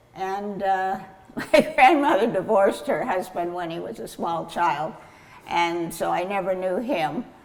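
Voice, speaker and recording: With an American accent, a woman at medium pitch speaks at a fairly slow pace with lively intonation and big swings in loudness, and audible room echo surrounds her. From California (Kern County), US West. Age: 90s. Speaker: grape grower. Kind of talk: oral history interview. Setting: at the vineyard. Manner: halting, many fillers.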